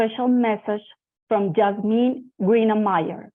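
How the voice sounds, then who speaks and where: A woman with a Spanish accent and fairly high pitch speaks at a fairly slow pace. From Colombia (Bogota). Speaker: event host and moderator, cancer survivor. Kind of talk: scripted introduction to a panel session.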